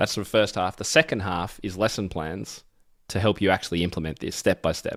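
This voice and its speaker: Enthusiastic and fairly quick, a man with an Australian accent speaks in a very deep, low pitch with ordinary pitch variation on a very clean recording with a silent background. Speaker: piano educator and author. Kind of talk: interview.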